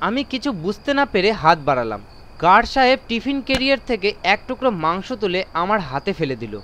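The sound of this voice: Pitched high for a man, he talks at a fairly quick pace with a fairly bright tone and big swings in pitch.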